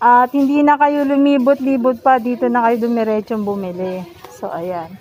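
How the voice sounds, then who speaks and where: Her pitch is high, and the woman's pitch variation is ordinary. She keeps a moderate pace amid noticeable background noise. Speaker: vlogger. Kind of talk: casual vlog narration. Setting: outdoors at a street market.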